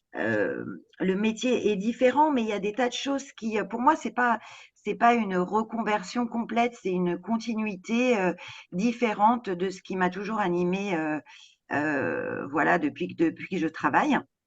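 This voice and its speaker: A woman speaks with a medium pitch. Her intonation is lively. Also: quiet background. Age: 60s. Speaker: home care worker. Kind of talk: interview. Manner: halting, many hesitations.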